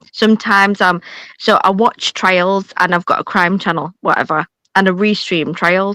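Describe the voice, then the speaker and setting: In a Yorkshire accent, a woman speaks at a moderate pace and medium pitch with a bright, sharp tone. Her loudness stays very even, and the sound is dry and close with no echo. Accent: picked up some Yorkshire. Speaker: streamer. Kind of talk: casual chat. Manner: animated.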